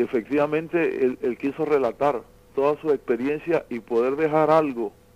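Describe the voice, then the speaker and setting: A man is speaking. His pace is fairly slow. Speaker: songwriter. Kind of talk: interview. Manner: halting.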